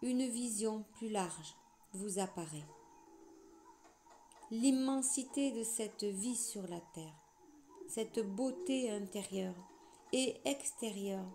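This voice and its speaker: A woman speaks at a very slow pace with long, frequent pauses, her fairly high voice somewhat breathy and dark and mellow in tone, with lively intonation. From southwest France. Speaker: spiritual channeler. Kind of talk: channeled spiritual message reading.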